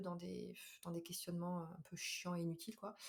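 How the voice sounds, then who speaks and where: A woman's dark, mellow, somewhat breathy voice at a fairly quick pace. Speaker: podcaster and nurse. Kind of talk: casual monologue. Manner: fast; hesitant with fillers.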